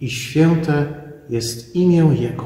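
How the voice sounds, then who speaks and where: There is audible room echo around a man speaking with ordinary pitch variation. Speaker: pastor. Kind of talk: sermon. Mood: calm, reflective. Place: church. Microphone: phone near.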